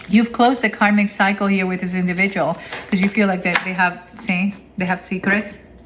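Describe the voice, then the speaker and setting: Over noticeable background noise, a woman talks in a medium pitch. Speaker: tarot reader. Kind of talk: tarot reading monologue. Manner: fast; halting, self-correcting.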